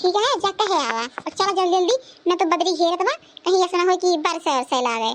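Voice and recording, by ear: A woman does a squeaky, cartoonish character voice at an extremely high pitch. She talks fairly quickly with lively intonation.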